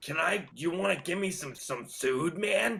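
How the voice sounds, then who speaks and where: A put-on character voice from a man, pitched high. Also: moderate pace. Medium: actual play. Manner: pushy, impatient.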